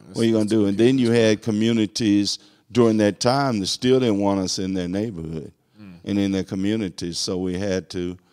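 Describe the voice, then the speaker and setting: With a Southern US accent, this dark, mellow voice moves at a fairly quick pace, keeping a fairly even intonation while its loudness swings widely over a quiet background. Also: man, fairly low pitch for a man. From US South. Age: 60s. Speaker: court clerk; interview guest. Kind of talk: casual interview. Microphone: handheld.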